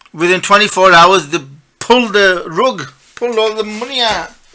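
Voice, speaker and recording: A man speaks in a high pitch with a raised, projected voice. His pitch varies in an ordinary way at a moderate pace. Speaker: financial markets analyst. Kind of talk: market analysis commentary. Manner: animated.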